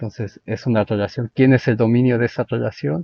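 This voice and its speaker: A man's medium-pitched voice carries ordinary pitch variation. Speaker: math lecturer. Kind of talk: lecture. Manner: slow; halting.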